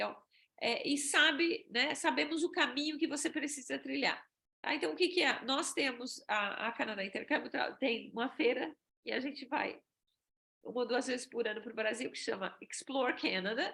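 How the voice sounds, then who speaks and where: A woman with a high pitch raises and projects her bright, sharp voice, moving at a moderate pace with lively intonation. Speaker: exchange agency presenter. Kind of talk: webinar presentation.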